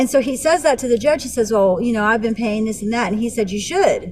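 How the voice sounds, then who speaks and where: Her tone is animated, her intonation lively. This woman has a fairly high pitch and sounds somewhat breathy. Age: 40s. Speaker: vlogger. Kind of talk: casual storytelling vlog.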